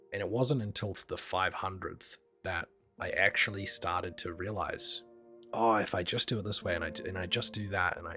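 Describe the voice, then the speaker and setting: Music plays in the background as a man speaks at a fairly low pitch with fairly even intonation. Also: moderate pace. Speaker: concept artist and art director. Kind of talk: casual art tutorial talk.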